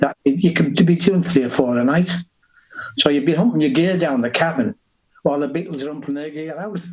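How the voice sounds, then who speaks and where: Speaking fairly quickly, a man uses a Liverpool accent. His pitch is fairly high, with ordinary pitch variation. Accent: Liverpool (Scouse). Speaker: rock musician. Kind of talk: interview.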